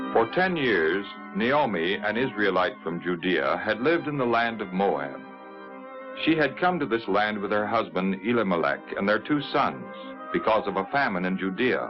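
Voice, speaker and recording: A man speaks at a fairly low pitch with very wide pitch swings. His moderate pace is set against music in the background. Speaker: narrator. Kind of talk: 1950s religious TV narration of a Bible story.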